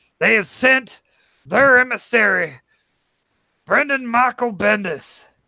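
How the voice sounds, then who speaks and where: Using a put-on character voice, a man speaks in a raised, projected voice at a fairly slow pace. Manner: over-the-top, warning the audience.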